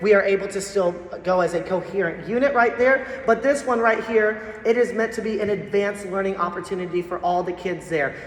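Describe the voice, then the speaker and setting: Fairly quick speech from a woman at medium pitch with hardly any pauses, ordinary pitch variation and noticeable background noise. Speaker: school band teacher. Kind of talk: parent meeting presentation. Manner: fast; casual, filler-heavy.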